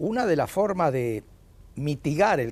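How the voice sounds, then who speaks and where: A man's dark, mellow tone with lively intonation at a fairly slow pace, in a very clean recording with a silent background. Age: 80s+. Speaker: economist, education expert. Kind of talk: TV interview.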